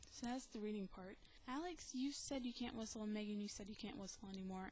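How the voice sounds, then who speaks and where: A woman talks in a soft-spoken way. She has a slight Southern US accent. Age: 20s. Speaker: video blogger. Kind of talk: casual vlog. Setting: home recording. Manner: many ums and hesitations.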